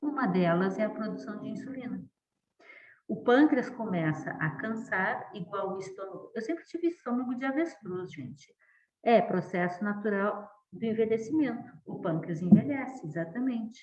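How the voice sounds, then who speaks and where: Very wide pitch swings in a woman's fairly high voice. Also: moderate pace, big swings in loudness. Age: 60s. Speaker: professor. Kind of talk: lecture.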